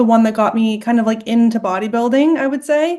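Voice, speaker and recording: Here is a woman with an American accent and a fairly high pitch. She has an unremarkable speaking voice with ordinary pitch variation. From Texas. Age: 20s. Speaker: bodybuilding competitor. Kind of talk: interview.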